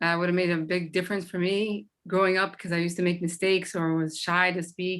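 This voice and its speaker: A woman speaks with a Boston accent. Her tone is bright and sharp. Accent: Boston American English. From Boston, US. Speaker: former student. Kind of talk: community meeting testimony.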